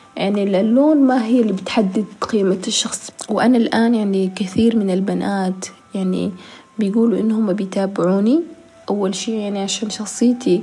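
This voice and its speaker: Through noticeable background noise, a woman at a medium pitch talks at a moderate pace with fairly even intonation. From South Sudan, raised in Khartoum, Sudan. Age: 20s. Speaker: fashion model and social media creator. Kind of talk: personal testimony interview.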